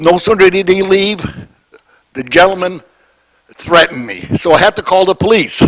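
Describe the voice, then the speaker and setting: This man's voice sits high in pitch. He leaves long, frequent pauses. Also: ordinary pitch variation, moderate pace. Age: 70s. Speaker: resident addressing council. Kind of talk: public delegation.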